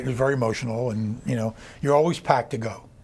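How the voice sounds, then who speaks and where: This man's medium-pitched voice moves at a fairly quick speed. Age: 60s. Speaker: kidney transplant recipient. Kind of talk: interview.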